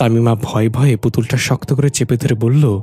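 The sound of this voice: A reading voice, unforced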